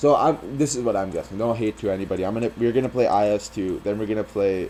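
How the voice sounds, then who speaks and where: A man's fairly low voice with ordinary pitch variation over noticeable background noise. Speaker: gaming youtuber, competitive player. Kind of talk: casual video commentary. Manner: frequent fillers, says um a lot; halting, repeats words.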